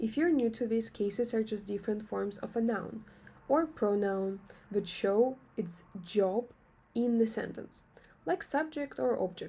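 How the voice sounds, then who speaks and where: Somewhat breathy and dark, mellow in tone, a woman with a fairly high pitch and lively intonation goes at a fairly slow pace with long, frequent pauses. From Russia. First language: Russian. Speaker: language teacher. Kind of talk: tutorial.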